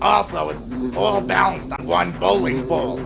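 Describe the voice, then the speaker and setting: A man's cartoonish character voice, fairly low in pitch, at a moderate pace over loud background noise. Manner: gruff, impatient.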